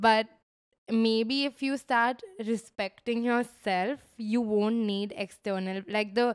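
Against a quiet background, a woman talks at a fairly slow pace. Her intonation stays fairly even. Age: 20s. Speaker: podcast co-host. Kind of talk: casual chat. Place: home room. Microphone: handheld.

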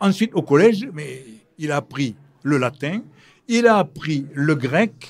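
A man's fairly high, somewhat breathy voice with lively intonation, at a very slow pace, broken by long, frequent pauses. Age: old. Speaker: historian and lecturer; lecturer. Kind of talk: live public talk. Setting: stage with audience. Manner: talkative. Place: hall.

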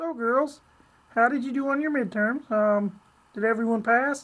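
A female-sounding put-on character voice with a fairly high pitch moves at a moderate pace. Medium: role play. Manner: nasal, comic.

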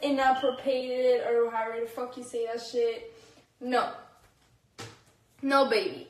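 A woman is speaking. Room echo is audible. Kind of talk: casual livestream rant. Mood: defiant, angry at critics. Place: bathroom.

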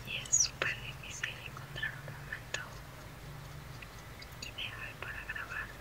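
A woman's speech, very slow, broken by long, frequent pauses. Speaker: visual artist. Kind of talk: ASMR drawing tutorial. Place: home room.

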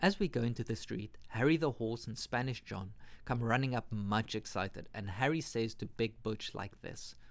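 With ordinary pitch variation and a moderate pace, an unremarkable speaking voice carries on. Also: man, medium pitch for a man. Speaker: audiobook narrator. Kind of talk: bedtime story reading.

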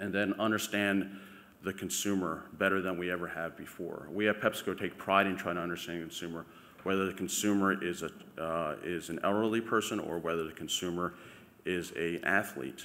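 A man speaks at a fairly quick pace in a very deep, low voice with fairly even intonation. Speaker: presenter. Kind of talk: conference talk. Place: hall. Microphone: podium.

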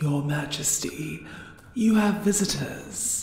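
Middle pitch and a fairly slow pace, with a clear echo

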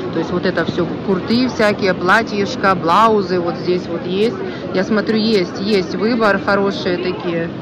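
Over loud background noise, a woman speaks at a fairly slow pace with fairly even intonation. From Ukraine. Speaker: vlogger. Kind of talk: walking vlog tour. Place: market. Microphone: phone near.

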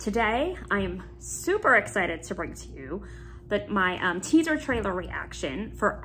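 A woman talks at a moderate pace while music plays in the background. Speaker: YouTube vlogger. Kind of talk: casual vlog chat. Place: home room. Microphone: phone near.

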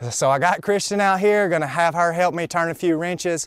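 Against a quiet background, a man with a high voice talks at a very fast pace with ordinary pitch variation, the sound dry with no echo. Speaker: car restoration vlogger. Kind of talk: casual vlog chat. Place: open country. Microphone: phone near.

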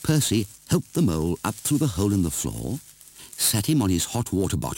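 There is an unforced reading voice here. The passage is read out.

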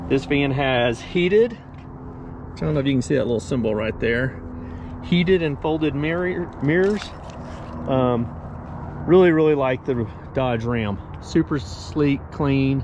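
The sound is dry with no echo, but noticeable background noise can be heard. Long, frequent pauses break up the speech. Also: man. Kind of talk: casual tour walkthrough. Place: street. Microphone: phone near.

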